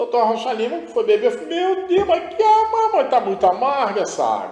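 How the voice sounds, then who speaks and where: Here is a man with an extremely high pitch and very wide pitch swings. He keeps a moderate pace. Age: 70s. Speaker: spiritual guest. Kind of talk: interview testimony.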